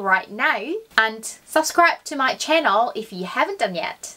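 A woman with a high pitch projects her raised voice at a fairly slow pace, her pitch swinging very widely. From South Korea. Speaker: YouTuber teaching Korean. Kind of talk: bilingual educational vlog.

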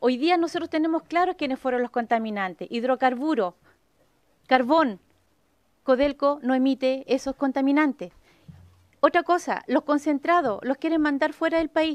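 In a Chilean accent, a woman speaks at a moderate pace with a high pitch and long, frequent pauses against a quiet background. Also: ordinary pitch variation. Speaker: union representative. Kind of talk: impassioned union speech. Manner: urgent, indignant. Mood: concerned, indignant. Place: meeting room. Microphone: podium.

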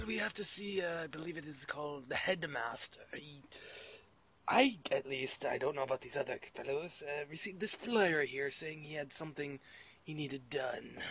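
A man puts on a gravelly character voice at a fairly high pitch, moving at a moderate pace with ordinary pitch variation. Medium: actual play. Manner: formal, dry.

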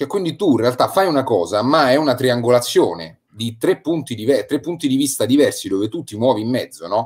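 Lively intonation and vocal fry mark a man's medium-pitched voice at a fairly quick pace. The recording is very clean, with a silent background. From Rome, Italy. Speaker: radio speaker, actor and voice actor. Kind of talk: casual chat. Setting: live stream.

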